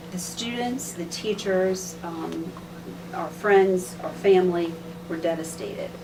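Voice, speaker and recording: Against noticeable background noise, a woman talks at a fairly slow pace in a fairly low pitch, her intonation fairly even but her loudness swinging widely. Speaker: high school secretary. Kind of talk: interview answer, recalling the 1960s for a student project. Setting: school interview, recorded on video.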